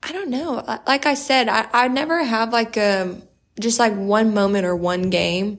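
A woman with an American accent has an ordinary speaking voice, a fairly high pitch and lively intonation at a moderate pace. The recording is very clean, with a silent background. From South Texas, Corpus Christi. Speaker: college basketball player. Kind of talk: interview.

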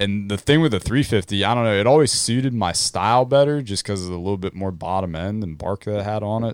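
A man talks at a very fast pace with hardly any pauses. His pitch is fairly low, with ordinary pitch variation. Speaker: dirt bike racer. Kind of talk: casual chat. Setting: outdoors. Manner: animated.

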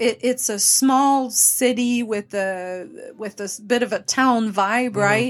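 A woman speaks in a Quebec accent. Her intonation is fairly even and her pace fairly slow. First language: French. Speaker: interior designer and firm owner. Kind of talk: casual interview. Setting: live event party.

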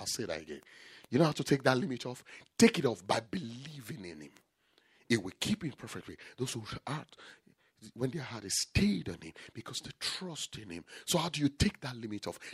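The voice is animated in tone, with vocal fry, very wide pitch swings and big swings in loudness, moving at a fairly quick pace yet broken by long, frequent pauses. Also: man, medium pitch for a man. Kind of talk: sermon. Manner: emphatic, repeating key phrases for effect.

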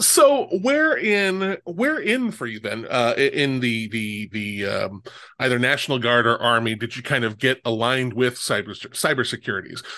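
A man with an American accent speaks at a medium pitch and a moderate pace. His tone is bright and sharp, and his intonation is lively. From Omaha, Nebraska. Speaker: podcast host. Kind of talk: casual interview chat.

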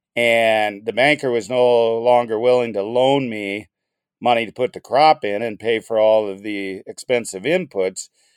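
A normal speaking voice with an American accent, fairly slow, with ordinary pitch variation, in a dry, close sound with no echo and a very clean recording over a silent background. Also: man, medium pitch for a man. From North Dakota, US (Bismarck). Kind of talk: interview storytelling.

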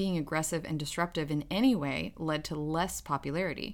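Over a very clean recording with a silent background, a woman speaks in a very deep, low pitch. Her pace is moderate and her pitch variation ordinary. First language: not English. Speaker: podcast host, psychology researcher. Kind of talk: casual chat.

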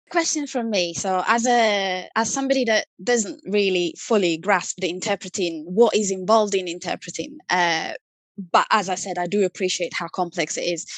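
In a dry, close recording with no echo and a quiet background, a woman speaks at a moderate pace and medium pitch with ordinary pitch variation and an Italian accent. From Italy. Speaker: CRM marketing manager. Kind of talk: casual interview chat. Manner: hesitant, many fillers.

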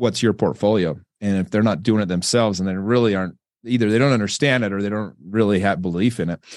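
Against a quiet background, a man with a Western US accent talks very fast at a fairly low pitch with fairly even intonation. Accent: American, Western US. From Utah. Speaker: entrepreneur and real estate investor. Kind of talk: casual interview. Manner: relaxed, filler-heavy with repetitions.

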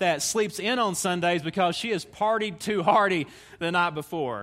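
A man with a Southern US accent, high pitch and bright, sharp tone at a moderate pace, on a very clean recording with a silent background. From Tennessee, US South. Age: 30s. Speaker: visiting preacher. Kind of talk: sermon. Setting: church stage with audience.

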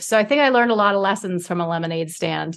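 A woman with a Canadian accent speaks at a fairly quick pace, with an unremarkable speaking voice and ordinary pitch variation. The recording is very clean with a silent background. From Canada, inner city Toronto. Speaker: author and former TV reporter. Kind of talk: interview.

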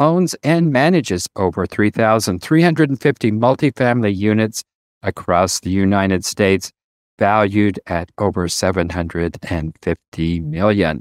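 In an unremarkable speaking voice, a fairly low-pitched man speaks at a moderate pace with lively intonation, on a very clean, dry, close recording with no echo and a silent background. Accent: American. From US Colorado.

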